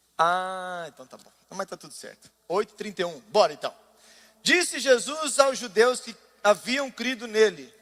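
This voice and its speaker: A man's high-pitched, bright, sharp voice at a fairly slow pace, with very wide pitch swings and big swings in loudness. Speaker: pastor. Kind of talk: sermon.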